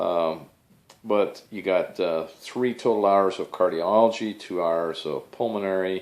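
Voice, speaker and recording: Speaking at a fairly slow pace, a man with a fairly low pitch keeps his intonation fairly even. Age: 60s. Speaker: physician assistant. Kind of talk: casual vlog review. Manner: hesitant, many fillers.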